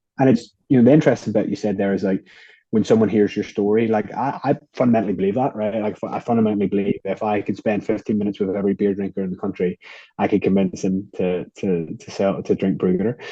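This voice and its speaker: A man with an Irish accent speaks very fast in a fairly low voice, his intonation fairly even. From Ireland. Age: 20s. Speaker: beer company co-founder. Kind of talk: interview conversation.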